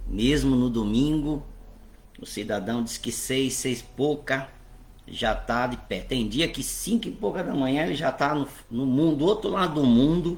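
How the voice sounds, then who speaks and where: In a room with audible echo, a man speaks at a fairly slow pace and a fairly high pitch with lively intonation. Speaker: bishop and Bible teacher. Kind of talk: online Bible class. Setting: online livestream.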